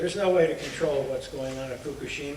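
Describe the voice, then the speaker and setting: A man speaks at a fairly high pitch and moderate pace, with ordinary pitch variation. Audible room echo and noticeable background noise fill the recording. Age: 80s+. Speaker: retired pathologist. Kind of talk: public hearing testimony. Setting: public hearing.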